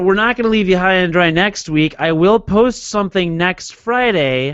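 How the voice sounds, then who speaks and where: This man's voice sits high in pitch and carries lively intonation. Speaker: podcast host. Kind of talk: casual chat. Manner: slurred words when tired.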